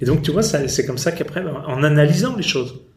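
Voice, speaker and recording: The delivery is fairly quick, with ordinary pitch variation and noticeable background noise throughout. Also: man. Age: 50s. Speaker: company founder. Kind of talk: interview. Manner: halting.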